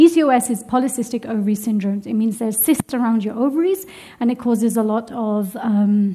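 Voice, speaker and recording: Talking very fast with a British accent, a woman uses a fairly high, somewhat breathy voice with a dark, mellow tone and ordinary pitch variation. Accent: UK. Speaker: religious teacher. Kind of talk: lecture.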